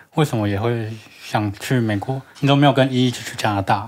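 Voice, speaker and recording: A man speaks at a moderate pace and medium pitch. His pitch variation is ordinary. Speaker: podcast co-host. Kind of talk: casual chat.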